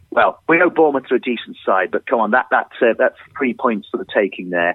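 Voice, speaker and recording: A man's medium-pitched voice, fairly quick, with lively intonation. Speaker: football pundit. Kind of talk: casual chat.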